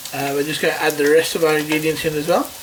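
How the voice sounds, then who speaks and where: A man's fairly high voice at a very fast pace, with noticeable background noise. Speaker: cooking show host. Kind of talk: tutorial. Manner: casual, hesitant with fillers.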